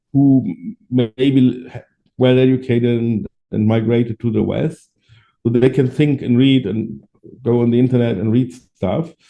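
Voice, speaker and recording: A man speaks with a German accent. He leaves long, frequent pauses. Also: medium pitch for a man, fairly slow pace. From Germany. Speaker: adoptee rights activist. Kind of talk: interview. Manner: halting.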